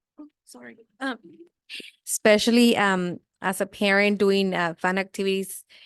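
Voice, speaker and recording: A woman with a Spanish accent, long, frequent pauses, and big swings in loudness. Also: medium pitch for a woman, ordinary pitch variation, moderate pace, dry, close sound with no echo. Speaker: community volunteer, running group captain. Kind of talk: public comment. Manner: halting.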